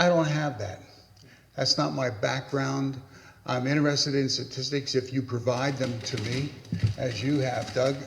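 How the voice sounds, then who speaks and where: The voice keeps fairly even intonation at a moderate pace. Audible room echo and noticeable background noise are present. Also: man, medium pitch for a man. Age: 70s. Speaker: pastor. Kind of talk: panel talk. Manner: halting.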